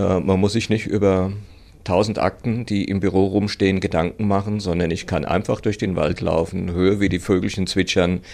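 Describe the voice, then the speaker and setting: A man talks in a very deep, low voice at a moderate pace. His intonation stays monotone and flat. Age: 60s. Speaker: running club chairman. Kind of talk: interview. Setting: studio.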